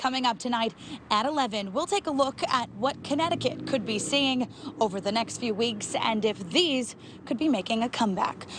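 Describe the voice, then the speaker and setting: There is noticeable background noise behind a woman's voice. She speaks with an American accent at a high pitch. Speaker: TV news reporter and anchor. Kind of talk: live field news report.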